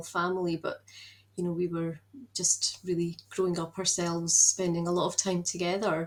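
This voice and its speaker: This is a woman with a Scottish accent. Her pitch is fairly low. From Scotland, Edinburgh. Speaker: productivity mentor. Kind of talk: podcast interview. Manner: hesitant, many fillers.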